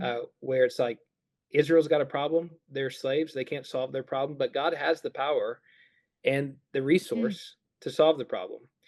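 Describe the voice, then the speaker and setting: A man with an unremarkable speaking voice, pitched fairly high, talks at a moderate pace with ordinary pitch variation, the sound dry and close with no echo over a quiet background. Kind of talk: interview answer explaining Bible.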